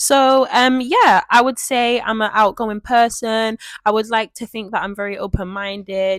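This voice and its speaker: The speaker has a Mancunian accent and an animated tone with ordinary pitch variation. The recording is very clean with a silent background, and the sound is dry and close with no echo. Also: woman. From Manchester, northern England. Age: 20s. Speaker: podcast host. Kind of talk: casual podcast monologue. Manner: loud.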